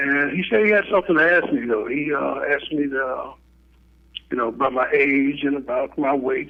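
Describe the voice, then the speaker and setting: A man with an American accent has an ordinary speaking voice and a fairly high pitch. He talks at a fairly quick pace with fairly even intonation. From Chicago. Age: 60s. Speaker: diabetes educator. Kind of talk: interview. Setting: phone call.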